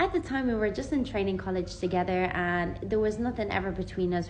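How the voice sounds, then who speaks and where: A woman speaks at medium pitch with ordinary pitch variation. There is audible room echo. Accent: Irish. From Ireland. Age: 20s. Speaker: vlogger. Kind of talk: personal testimony. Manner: casual, conversational.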